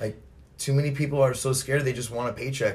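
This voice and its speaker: Somewhat breathy, a man speaks at a fairly quick pace with an American accent. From California. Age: 40s. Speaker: podcast host. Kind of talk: casual chat. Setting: at the guest's home.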